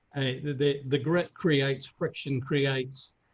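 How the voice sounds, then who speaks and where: This man's voice is fairly high in pitch and somewhat breathy, with monotone, flat intonation. He speaks at a fairly slow pace. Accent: New Zealand. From New Zealand. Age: 60s. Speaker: fitness coach and former athlete. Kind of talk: interview. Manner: halting, many repeated words.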